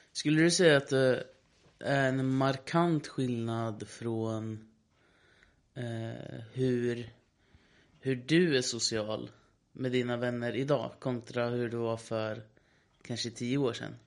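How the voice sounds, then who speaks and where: A man speaks at a medium pitch with fairly even intonation. His pace is very slow, broken by long, frequent pauses. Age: 20s. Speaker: podcast co-host, musician. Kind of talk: casual chat.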